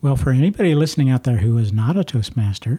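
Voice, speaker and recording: Fairly high-pitched man with an American accent, ordinary pitch variation and a moderate pace, in a very clean recording with a silent background. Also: dry, close sound with no echo. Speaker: podcast host. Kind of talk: interview. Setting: in-person recording at an office.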